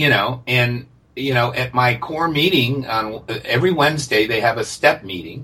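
At a moderate pace, a man with a normal speaking voice and medium pitch talks with ordinary pitch variation. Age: 60s. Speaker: recovering alcoholic, group member. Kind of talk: casual interview conversation. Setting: remote call.

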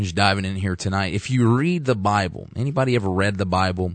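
A man with an American accent speaks at a moderate pace in a fairly low pitch. It is a plain, everyday voice over a quiet background. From US South, Arkansas. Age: 20s. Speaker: fill-in radio host, church member. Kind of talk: preaching-style radio talk. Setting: radio studio.

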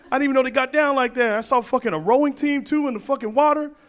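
Someone with an American accent talks with ordinary pitch variation against noticeable background noise. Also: man. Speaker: comedian. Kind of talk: stand-up. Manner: animated.

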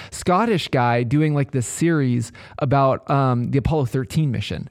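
A man talks in an ordinary speaking voice with an American accent. His pitch sits fairly high and varies in an ordinary way. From US Pacific Northwest, Kitsap, Washington. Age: 30s. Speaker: podcast co-host. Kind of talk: casual chat. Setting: studio.

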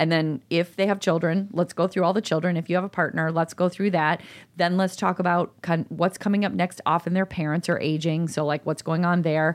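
In a Chicago accent, a woman speaks fairly quickly at a fairly low pitch, with monotone, flat intonation and very even loudness. The recording is very clean against a silent background. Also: hardly any pauses. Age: 50s. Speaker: podcast co-host. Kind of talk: casual chat.

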